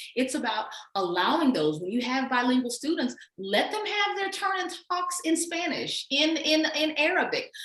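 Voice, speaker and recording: A woman speaks with an American accent. Her pitch swings very widely. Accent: Southern US, can switch it off. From US South. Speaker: educator and author. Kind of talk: casual chat.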